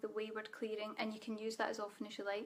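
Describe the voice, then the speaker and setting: Very fast and in a monotone, flat delivery, a woman speaks with a Scottish accent. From Scotland. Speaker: spiritual coach. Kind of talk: live Q&A webinar. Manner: casual.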